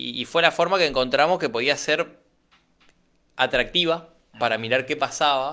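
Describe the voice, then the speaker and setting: A man speaks with long, frequent pauses and vocal fry. His voice is fairly high, with a bright, sharp tone. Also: ordinary pitch variation, moderate pace. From Argentina, Chaco. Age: 20s. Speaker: political candidate and entrepreneur; interviewee. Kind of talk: radio interview. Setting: radio studio. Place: studio. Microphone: studio mic.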